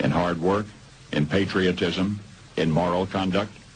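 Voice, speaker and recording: There is noticeable background noise as a man talks at a moderate pace. His pitch is very deep and low. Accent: American. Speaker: radio broadcaster. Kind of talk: radio commentary, dramatic monologue.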